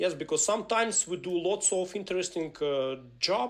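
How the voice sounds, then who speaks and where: A Ukrainian accent at a moderate pace. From Ukraine. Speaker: software engineering speaker and trainer. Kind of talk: live webinar presentation. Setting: live online webinar. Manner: halting, many fillers.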